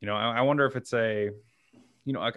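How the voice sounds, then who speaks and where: This man's pitch is medium. He keeps his intonation fairly even. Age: 20s. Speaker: wellness podcast co-host. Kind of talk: casual chat. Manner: fast talker.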